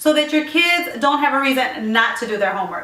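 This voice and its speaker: A woman's high, raised, projected voice with lively intonation, amid noticeable background noise and audible room echo. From Puerto Rico. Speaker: lifestyle vlogger. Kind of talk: casual tutorial vlog. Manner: fast.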